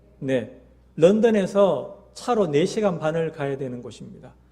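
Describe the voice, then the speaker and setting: This man's voice has a dark, mellow tone and ordinary pitch variation. Room echo is audible. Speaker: missionary. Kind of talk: mission report in church service. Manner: hesitant with many fillers.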